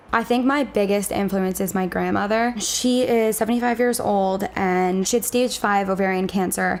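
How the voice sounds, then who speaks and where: At a moderate pace, a woman with an American accent speaks at a medium pitch with fairly even intonation. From US Northeast, Long Island, New York. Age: 20s. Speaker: graduate student. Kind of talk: casual interview, personal profile. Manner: chatty, frequent 'like' fillers.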